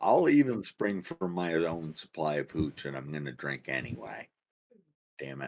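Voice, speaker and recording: In a put-on character voice, a man speaks at a moderate pace with a raspy, very deep, low pitch and ordinary pitch variation, the sound dry and close with no echo. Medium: actual play. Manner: gruff, folksy.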